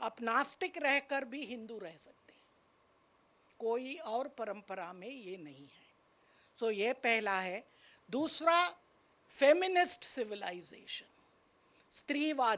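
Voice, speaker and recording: Speaking in a Tamil accent at a high pitch, a woman uses very wide pitch swings and big swings in loudness, with long, frequent pauses. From Tamil Nadu, India. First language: Tamil (speaking Hindi). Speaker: university vice chancellor. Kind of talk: panel discussion talk.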